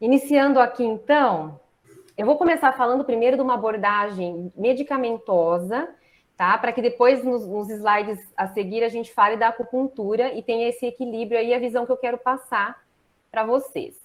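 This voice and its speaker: A woman's fairly high voice, a normal speaking voice, with ordinary pitch variation at a moderate pace. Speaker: acupuncturist and pharmacist. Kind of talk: online lecture.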